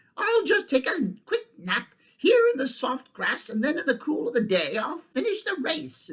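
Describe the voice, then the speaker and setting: A put-on character voice rides a high pitch with very wide pitch swings. The pace is moderate. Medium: read story. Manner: boastful.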